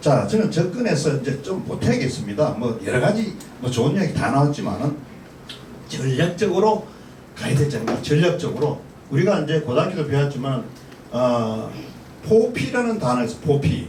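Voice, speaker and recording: A man's fairly high voice at a moderate pace, with very wide pitch swings and long, frequent pauses, amid audible room echo and noticeable background noise. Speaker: pastor and panel commentator. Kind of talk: forum commentary. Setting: panel forum.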